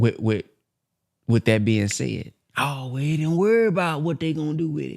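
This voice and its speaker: Speaking with an American accent, a man's voice makes very wide pitch swings. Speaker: motivational speaker. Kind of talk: book reading with commentary. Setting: conference call.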